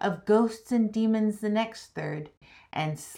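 The text is read aloud. The delivery is plain.

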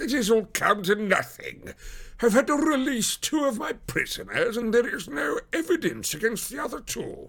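This put-on character voice has vocal fry and a slightly husky edge. Its pitch swings big. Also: man, extremely high pitch for a man, moderate pace.

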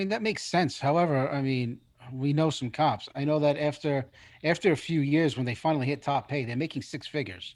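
In a plain, everyday voice, a man speaks at a fairly quick pace with a fairly high pitch and ordinary pitch variation. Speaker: co-host. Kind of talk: casual chat.

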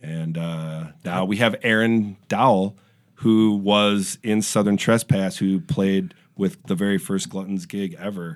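An unremarkable speaking voice with an American accent, at a fairly slow pace and with ordinary pitch variation. The recording is very clean with a silent background. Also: man, fairly low pitch for a man. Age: 40s. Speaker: punk musician, band frontman. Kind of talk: casual chat.

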